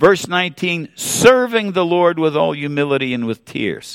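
A man's voice at a moderate pace with very wide pitch swings, on a very clean recording with a silent background. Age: 70s. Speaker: retired pastor. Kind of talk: sermon. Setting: church.

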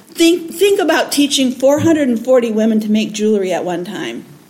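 There is noticeable background noise and audible room echo. A woman with an American accent talks at a high pitch with lively intonation. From raised abroad as missionary kid (Pakistan/Bangladesh), born Michigan. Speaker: missionary, anti-trafficking ministry leader. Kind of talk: testimony. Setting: church.

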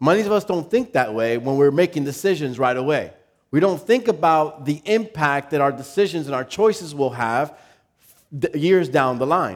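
With lively intonation and a fairly high pitch, a man speaks at a moderate pace in a normal speaking voice. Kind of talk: guided imagery exercise within a sermon, eyes-closed visualization. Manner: playful, warm, lightly joking.

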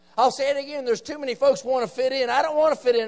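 Speaking in an Appalachian accent, a man has an animated tone. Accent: Appalachian Southern American. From West Virginia, rural Appalachia. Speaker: visiting preacher. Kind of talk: revival sermon, fiery evangelical preaching on the nation's moral decline. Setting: church meeting with live congregation. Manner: emphatic, punchy call-and-response with repeated 'say amen' prompts; animated, rising intensity with folksy asides and jabs.

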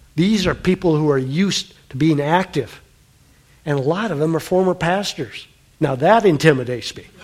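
Here is a man with a normal speaking voice, pitched fairly high. He speaks at a moderate pace with ordinary pitch variation. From US Midwest (South Dakota). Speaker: pastor. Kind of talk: sermon. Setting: church.

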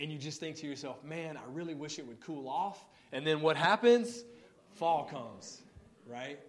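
A man with an American accent, fairly high-pitched, at a moderate pace, with lively intonation and big swings in loudness, amid noticeable background noise and audible room echo. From Mississippi, US South. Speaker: guest preacher. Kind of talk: sermon. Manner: casual with filler words.

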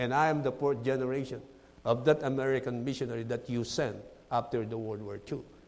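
The speaker has a Filipino accent and talks at a fairly quick pace. The intonation stays fairly even. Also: man. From Philippines. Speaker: missionary preacher. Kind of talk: sermon. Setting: church. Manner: halting, uses fillers.

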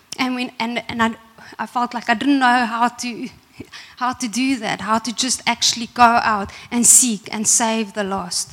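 Fairly slow delivery with fairly even intonation over noticeable background noise. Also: woman, fairly high pitch for a woman. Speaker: preacher. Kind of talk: sermon. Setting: church.

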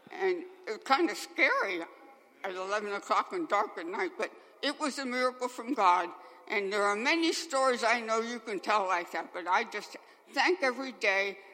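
A woman speaks at a moderate pace in a fairly high voice, her pitch swinging very widely. Noticeable background noise runs underneath. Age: 80s+. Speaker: churchgoer. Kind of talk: testimony. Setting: church.

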